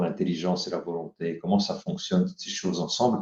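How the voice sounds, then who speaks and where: This man's voice is very deep and low, with a dark, mellow tone. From France, Paris. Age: 60s. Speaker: author and leadership teacher. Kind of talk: interview.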